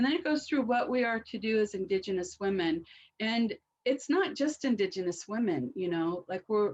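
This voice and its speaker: Speaking at a moderate pace, a woman uses a fairly high pitch with very wide pitch swings. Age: 60s. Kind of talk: webinar talk.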